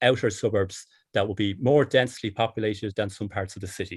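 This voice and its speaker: In a very clean recording with a silent background, a man with a fairly low, somewhat breathy voice talks at a fairly quick pace with fairly even intonation. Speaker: politician. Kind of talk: interview.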